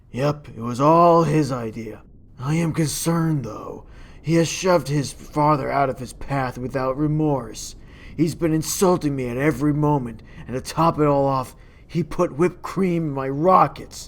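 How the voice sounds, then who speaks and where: In a cartoonish character voice with a low-to-middle pitch, the speaker delivers lines at a moderate pace. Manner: chatty, complaining.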